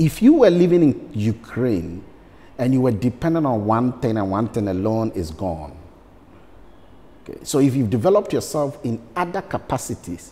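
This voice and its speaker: Speaking at a moderate pace, a man uses very wide pitch swings and vocal fry. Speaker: interview guest. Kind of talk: interview answer. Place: studio. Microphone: lapel.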